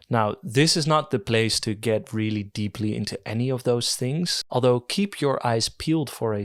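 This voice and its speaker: A man's medium-pitched voice in a Dutch accent, fairly slow with lively intonation, in a very clean recording with a silent background. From Netherlands. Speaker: video essayist. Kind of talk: video essay. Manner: hesitant, with fillers.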